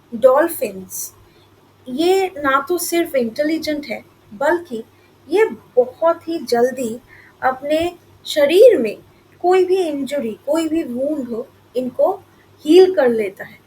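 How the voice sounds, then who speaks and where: A woman's high voice, with long, frequent pauses. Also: lively intonation, big swings in loudness. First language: Bengali (speaking Hindi). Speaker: YouTuber. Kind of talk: casual vlog talk. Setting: indoors at home, AC on. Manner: halting, many fillers and restarts.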